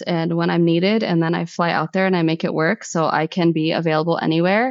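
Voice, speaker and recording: A woman with a normal speaking voice, fairly low pitch, ordinary pitch variation and a fairly quick pace. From US, Egyptian-American household. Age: 30s. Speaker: sound healer and photographer. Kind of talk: casual interview chat.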